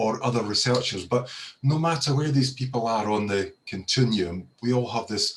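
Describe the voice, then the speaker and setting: A man with a Scottish accent sounds somewhat breathy and uses ordinary pitch variation. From Scotland. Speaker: professor of audiology. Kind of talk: panel talk on video call. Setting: video call. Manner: hesitant, many repeated words.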